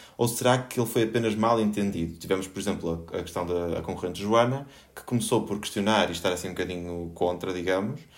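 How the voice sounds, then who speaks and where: A man's fairly low voice at a very fast pace, with ordinary pitch variation and audible room echo. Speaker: podcast host. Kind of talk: panel discussion. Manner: halting.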